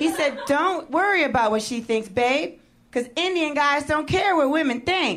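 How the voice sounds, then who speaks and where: A woman with a high pitch speaks at a moderate pace, with lively intonation and very even loudness. Audible room echo and noticeable background noise are present. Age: 30s. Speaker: stand-up comedian. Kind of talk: stand-up. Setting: stage with audience.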